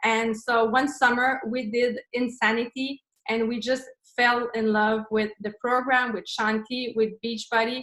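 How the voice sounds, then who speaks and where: A woman's fairly high, monotone, flat voice at a fairly slow pace. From Quebec, Montreal. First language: French. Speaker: fitness coach and business owner. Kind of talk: online presentation. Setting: video call. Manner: halting, searching for words.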